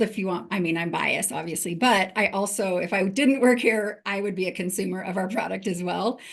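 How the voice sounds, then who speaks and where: This speaker has a Western US accent and talks at a moderate pace. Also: woman. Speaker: HR executive. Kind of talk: webinar panel talk.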